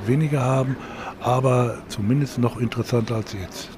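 A man speaks at a moderate pace with a medium pitch. His intonation is fairly even, and there is noticeable background noise. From Hagen, Westphalia, Germany. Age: 60s. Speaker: mayoral candidate, master craftsman. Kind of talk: radio interview questionnaire.

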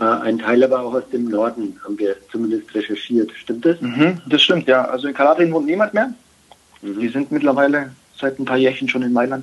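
A man with a medium-pitched voice talks at a moderate pace with ordinary pitch variation over noticeable background noise. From Germany, Baden-Württemberg. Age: 30s. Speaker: professional footballer. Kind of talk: interview.

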